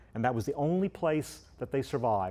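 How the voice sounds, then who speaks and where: The voice has a dark, mellow tone and moves at a fairly quick pace. The background is quiet. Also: man. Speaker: zoo conservation scientist. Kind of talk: lecture. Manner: loud, projecting voice; halting, many fillers.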